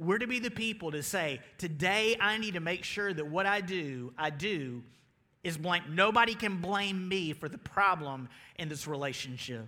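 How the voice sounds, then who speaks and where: This high-pitched man has a Southern US accent, a bright, sharp tone and lively intonation. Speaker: pastor. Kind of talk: sermon. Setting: church.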